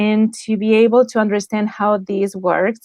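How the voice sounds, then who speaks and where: The speech moves at a fairly slow pace. It comes with a Spanish accent. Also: woman. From Spain. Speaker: lifestyle design coach. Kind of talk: interview.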